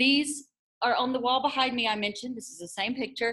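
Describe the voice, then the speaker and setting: A woman talks with a fairly high pitch at a fairly quick pace. She has a plain, everyday voice. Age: 40s. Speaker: language teacher. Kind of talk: conference presentation. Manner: casual, encouraging.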